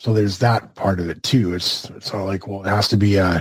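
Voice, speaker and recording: A man speaks at a fairly quick pace in a fairly low, somewhat breathy voice with flat, monotone intonation. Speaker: wrestling podcast co-host. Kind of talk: casual chat.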